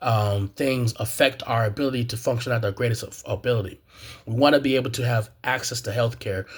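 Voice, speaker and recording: Man with a medium pitch and an American accent, somewhat breathy, fairly quick, fairly even intonation, on a very clean recording with a silent background. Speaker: graduate student, video blogger. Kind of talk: personal commentary monologue. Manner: halting, many fillers and repetitions.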